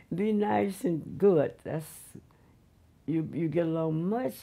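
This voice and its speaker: A woman with a Southern US accent has a fairly low pitch and a dark, mellow tone. Her intonation is lively. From Mississippi. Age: 80s+. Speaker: retired railroad porterette. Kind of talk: interview answer. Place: home room.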